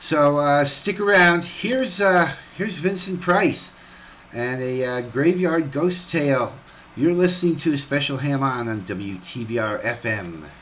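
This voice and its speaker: Over noticeable background noise, a man with a fairly high pitch talks fairly slowly in a relaxed, cheerful tone with lively intonation. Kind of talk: casual radio host banter and announcements. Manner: relaxed, chatty, cheerful.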